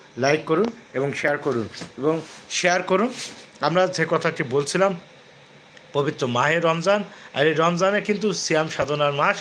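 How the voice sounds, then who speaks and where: An unremarkable speaking voice holds very even loudness and ordinary pitch variation. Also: man, fairly high pitch for a man. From Bangladesh, Jessore district. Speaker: YouTube channel host, Islamic talk. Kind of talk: live-stream religious talk to viewers. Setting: YouTube live stream.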